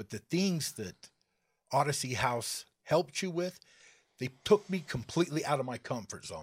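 A somewhat breathy man speaks at a fairly high pitch with lively intonation. His loudness swings widely. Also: moderate pace. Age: 40s. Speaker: person in addiction recovery. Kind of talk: testimony. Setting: studio.

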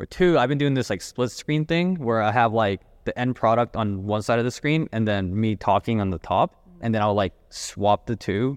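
A man with an ordinary speaking voice, medium in pitch, at a moderate pace with lively intonation. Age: 30s. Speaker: entrepreneur and designer. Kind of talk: casual chat.

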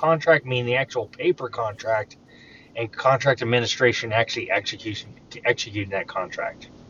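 At a moderate pace and with ordinary pitch variation, a man talks in a normal speaking voice. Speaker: podcast host. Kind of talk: casual interview conversation. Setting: phone call.

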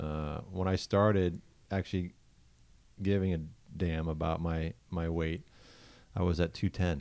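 A man with an American accent speaks in a very deep, low voice with fairly even intonation. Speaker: podcast host. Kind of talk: casual chat.

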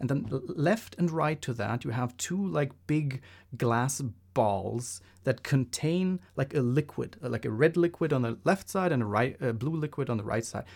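At a moderate pace and medium pitch, a man talks with lively intonation in a non-native accent. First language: not English. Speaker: podcast co-host. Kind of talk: casual chat.

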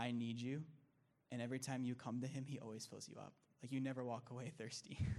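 With an American accent, a man talks at a very fast pace in a dark, mellow tone, his intonation monotone and flat. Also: medium pitch for a man. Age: 20s. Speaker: discipleship student. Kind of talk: testimony.

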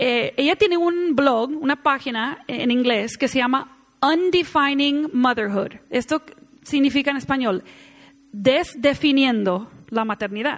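Her pitch is high, and the woman talks at a fairly slow pace. Loudness stays very even while her pitch varies in an ordinary way. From United States. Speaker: women's conference speaker. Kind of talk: sermon.

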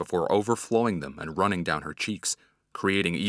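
The delivery is a natural reading voice with ordinary pitch variation over a quiet background.

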